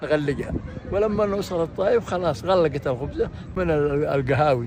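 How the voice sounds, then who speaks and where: Fairly high male voice at a moderate pace and very even loudness, over noticeable background noise. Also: lively intonation. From Saudi Arabia, Ghamid region (Al-Baha). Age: 80s+. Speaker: elder recounting old times. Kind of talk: oral history reminiscence. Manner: halting, repeats words.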